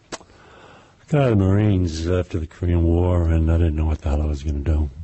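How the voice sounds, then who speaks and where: A man with an American accent talks at a very fast pace and a very deep, low pitch. His intonation is fairly even, with noticeable background noise behind him. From New York, Brooklyn. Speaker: crime novelist, former police officer. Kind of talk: interview.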